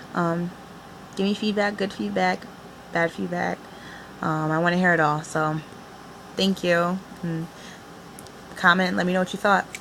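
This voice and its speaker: Noticeable background noise behind a woman's moderate pace, broken by long, frequent pauses. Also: fairly low pitch for a woman, ordinary pitch variation. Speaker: poet. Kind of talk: poetry reading; casual vlog talk. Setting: home video recording on iPad.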